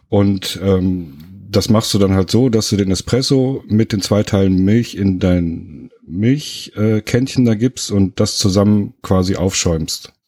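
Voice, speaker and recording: A man with a dark, mellow tone speaks very slowly at a fairly low pitch, with ordinary pitch variation and very even loudness. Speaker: podcast co-host, trained cook. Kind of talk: casual chat. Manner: calm, measured.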